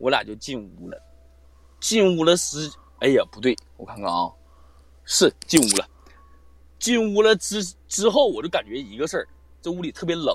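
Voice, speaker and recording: With big swings in loudness and long, frequent pauses, a man speaks in a dry, close sound with no echo. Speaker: live-stream guest storyteller. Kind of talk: casual storytelling. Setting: live online voice call. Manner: animated, fast talker, profane.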